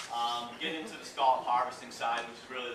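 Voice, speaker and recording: Through audible room echo and noticeable background noise, a man with an East Coast US accent talks very fast at a medium pitch. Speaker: seafood company representative. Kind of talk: presentation to an audience. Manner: casual, many filler words.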